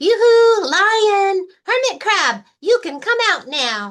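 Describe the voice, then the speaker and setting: Squeaky put-on character voice of a woman, extremely high-pitched, at a very slow pace. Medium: read story. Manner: eager, excitable.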